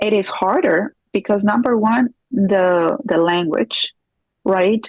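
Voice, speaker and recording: Speaking with a Spanish accent, a woman uses a medium pitch and ordinary pitch variation. The sound is dry and close, with no echo. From Peru. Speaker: divorce coach and forensic accountant. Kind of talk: interview.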